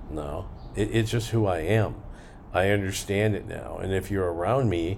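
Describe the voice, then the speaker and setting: At a moderate pace, a man with a fairly low pitch and ordinary pitch variation speaks amid audible room echo. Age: 60s. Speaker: podcast host. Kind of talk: casual monologue; listener Q&A.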